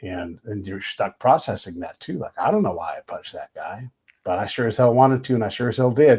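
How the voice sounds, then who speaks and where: On a very clean recording with a silent background, a somewhat breathy man talks at a fairly quick pace with lively intonation and big swings in loudness. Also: medium pitch for a man. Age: 50s. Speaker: podcast host and military veteran. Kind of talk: casual interview conversation.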